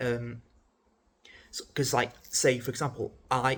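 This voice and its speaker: The voice of this man sounds somewhat breathy. Its pitch is medium. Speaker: mental health vlogger. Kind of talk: casual unedited vlog talk. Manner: halting, with stammers and self-corrections; informal, conversational.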